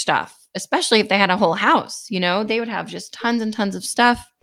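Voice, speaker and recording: A woman speaks at a moderate pace in a normal speaking voice, with ordinary pitch variation. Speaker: podcast co-host. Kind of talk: casual conversation.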